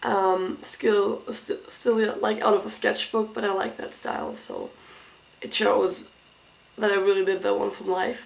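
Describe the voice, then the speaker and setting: Fairly slow speech from a woman, noticeable background noise behind it. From Germany. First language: German. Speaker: art school applicant. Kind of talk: casual tutorial walkthrough. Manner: halting.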